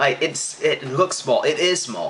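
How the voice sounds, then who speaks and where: With an American accent, a man speaks against noticeable background noise. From Central Illinois, US. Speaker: vlogger and sports announcer. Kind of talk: casual Q&A vlog. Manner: hesitant, many fillers.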